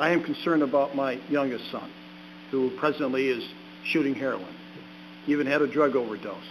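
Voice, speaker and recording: Speaking at a fairly quick pace with long, frequent pauses, a man uses a fairly high pitch and ordinary pitch variation. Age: 60s. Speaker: ordained minister, recovering addict giving testimony. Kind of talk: testimony at a public meeting. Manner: halting, with fillers and repeats.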